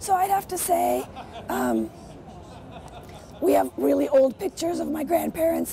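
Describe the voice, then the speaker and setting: A woman talks at a moderate pace with long, frequent pauses. Crowd noise runs in the background. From Poland. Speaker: fabric designer. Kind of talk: interview answer.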